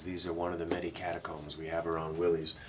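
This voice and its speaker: Quiet speech moves at a fairly quick pace with monotone, flat intonation. Room echo is audible. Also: man. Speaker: guitar dealer. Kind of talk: casual explanation to camera. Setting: back room of a guitar shop. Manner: speaking quietly.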